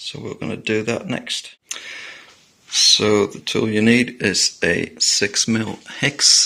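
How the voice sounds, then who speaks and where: Mumbling at a very slow pace, a man talks in a medium pitch with ordinary pitch variation and big swings in loudness. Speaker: motorcycle hobbyist mechanic. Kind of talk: tutorial. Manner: halting.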